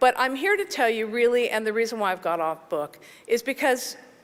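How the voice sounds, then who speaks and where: A woman's fairly high voice with lively intonation. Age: 60s. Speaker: film composer, award honoree. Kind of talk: award acceptance speech. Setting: stage with audience. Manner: halting.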